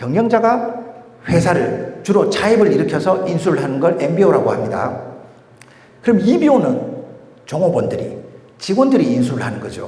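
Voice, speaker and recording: With audible room echo and noticeable background noise, a man talks in a high pitch with very wide pitch swings and long, frequent pauses. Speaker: M&A and investment expert, lecturer. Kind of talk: lecture. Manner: fast.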